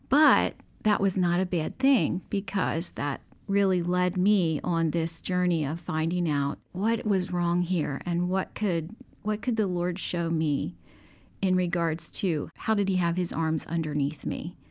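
In a very clean recording with a silent background, a woman with a plain, everyday voice talks at a fairly slow pace, her fairly low pitch showing ordinary variation. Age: 50s. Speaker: nurse. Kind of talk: testimony. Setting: studio.

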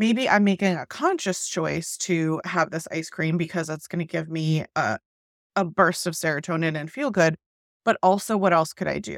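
A woman with an American accent has a normal speaking voice, a fairly low pitch, and ordinary pitch variation at a moderate pace. The very clean recording has a silent background and a dry, close sound with no echo. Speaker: podcast host. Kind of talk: interview conversation.

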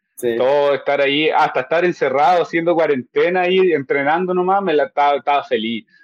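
In an unremarkable speaking voice, a man talks at a fairly quick pace and a fairly high pitch with hardly any pauses, very even loudness and ordinary pitch variation, and the sound is dry and close with no echo. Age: 20s. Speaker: MMA fighter. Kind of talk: casual chat.

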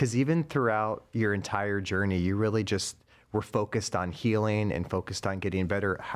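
On a very clean recording with a silent background, a man speaks fairly quickly in a plain, everyday voice at a fairly low pitch. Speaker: podcast host. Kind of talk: interview.

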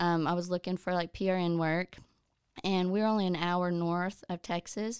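A woman speaks in an ordinary speaking voice with an American accent, at medium pitch and a moderate pace, on a very clean recording with a silent background. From southeast Oklahoma. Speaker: occupational therapy assistant. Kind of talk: casual chat.

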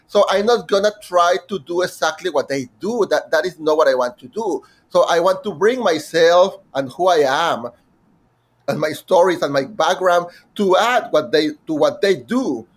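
Talking at a moderate pace in a Mexican accent, a man has a high pitch with ordinary pitch variation. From Mexico. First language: Spanish. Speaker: musical theatre composer. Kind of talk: interview. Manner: halting.

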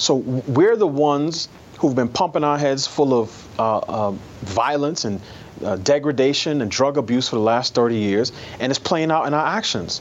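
With an American accent, a man talks at a moderate pace in a fairly high pitch, using lively intonation and an unremarkable speaking voice. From New York City. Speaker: newspaper columnist. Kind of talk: interview.

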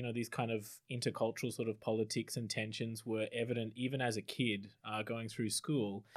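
A man with an Australian accent at a moderate pace, in a very clean recording with a silent background. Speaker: PhD student, former anthropologist. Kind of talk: panel discussion.

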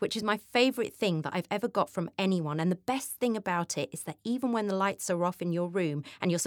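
This is an unforced reading voice. It is used for the whole clip.

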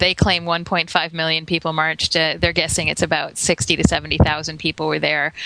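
Over noticeable background noise, a woman with an American accent speaks at a moderate pace in a very deep, low pitch and monotone, flat intonation. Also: hardly any pauses. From Florida, US. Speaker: podcast guest. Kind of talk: casual chat. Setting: video call.

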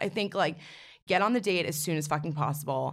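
A woman at a very fast pace, in a very clean recording with a silent background. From New York City. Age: 20s. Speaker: confidence coach and social media personality. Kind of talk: casual chat.

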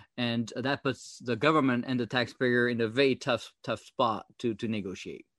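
In a dry, close sound with no echo and a quiet background, a man with a French accent speaks at medium pitch, a moderate pace and fairly even intonation. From France. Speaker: former government software chief. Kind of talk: interview. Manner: halting, many fillers.

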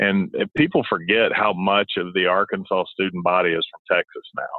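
In a Southern US accent, a man speaks at a moderate pace. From Alabama, Montgomery. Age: 30s. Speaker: former college basketball player, sports commentator. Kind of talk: phone interview.

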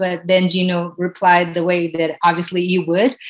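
There is noticeable background noise as a woman talks at a medium pitch. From Portugal. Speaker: retired pro basketball player. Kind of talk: interview.

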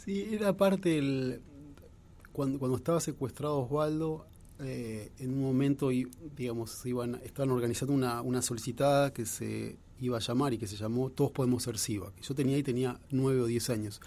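Dark and mellow in tone, this man's voice rests at a medium pitch. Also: ordinary pitch variation, moderate pace. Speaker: journalist and author. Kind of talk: radio interview.

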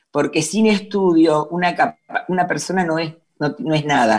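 Speaking with a Rioplatense accent, a woman talks at a fairly low pitch and a fairly slow pace. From Buenos Aires, Argentina. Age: 60s. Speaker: NGO president. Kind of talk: interview.

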